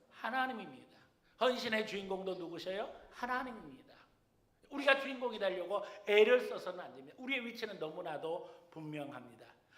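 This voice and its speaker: With audible room echo, a man talks at a fairly quick pace, his pitch high and his intonation lively. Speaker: senior pastor. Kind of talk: sermon. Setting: church.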